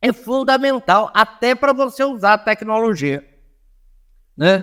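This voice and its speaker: Talking at a very slow pace, a man with a high pitch uses lively intonation in a dry, close sound with no echo. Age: 70s. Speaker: anthropologist and motivational speaker. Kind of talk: podcast interview.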